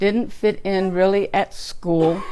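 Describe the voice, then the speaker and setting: A woman with an American accent speaks at a very slow pace. Her medium-pitched voice has a dark, mellow tone and fairly even intonation. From Texas (Slaton). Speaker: twelve-step program speaker. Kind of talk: testimony.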